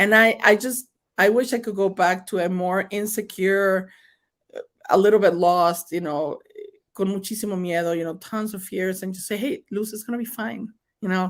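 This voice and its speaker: A woman with a strong Mexican accent at a moderate pace, medium in pitch, her intonation fairly even despite big swings in loudness. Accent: thick Mexican Spanish. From Mexico. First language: Spanish. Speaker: state senator. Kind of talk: interview. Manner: code-switching Spanish and English.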